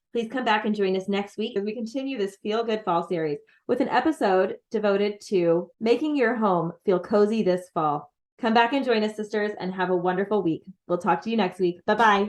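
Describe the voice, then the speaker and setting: Against a quiet background, a woman with an American accent talks at a fairly quick pace and medium pitch, with ordinary pitch variation. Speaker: podcast co-host. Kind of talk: podcast outro.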